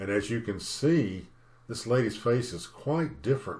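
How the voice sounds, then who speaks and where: A man's somewhat breathy, medium-pitched voice at a moderate pace, with lively intonation. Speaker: storyteller. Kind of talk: personal storytelling narration. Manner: conversational, hesitant.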